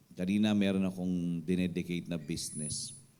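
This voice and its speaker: The voice has a dark, mellow tone and fairly even intonation, with audible room echo. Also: man. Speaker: pastor. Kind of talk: sermon. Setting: church midweek service. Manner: code-switching Tagalog and English.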